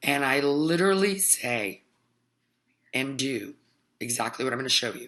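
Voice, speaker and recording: With ordinary pitch variation, a woman speaks in a bright, sharp tone over a quiet background. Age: 40s. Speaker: healer. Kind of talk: vlog monologue. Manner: casual, with many fillers.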